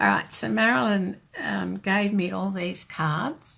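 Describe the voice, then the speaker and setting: A woman with an Australian accent speaks at a very slow pace on a very clean recording with a silent background. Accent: Australian, noticed by New Zealanders. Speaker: card-making demonstrator. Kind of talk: live-streamed craft tutorial chat.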